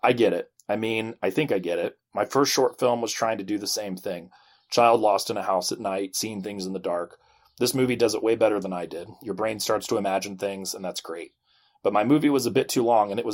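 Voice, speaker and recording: A man puts on a raspy character voice, medium in pitch, and talks at a fairly quick pace. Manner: reading very fast.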